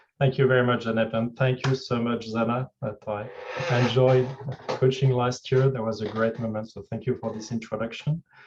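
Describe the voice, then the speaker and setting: The speaker has a French accent and talks at a moderate pace in a monotone, flat intonation. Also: man, medium pitch for a man. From France. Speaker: executive coach. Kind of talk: fireside chat talk. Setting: video call.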